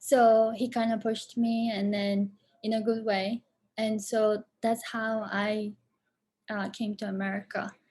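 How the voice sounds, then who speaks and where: A woman with a Japanese accent speaks at a fairly slow pace in a fairly high, somewhat breathy voice with a dark, mellow tone. Her intonation is monotone and flat, and the recording is very clean with a silent background. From Japan, moved to Boston at about 13. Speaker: film director and performer. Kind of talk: Q&A interview.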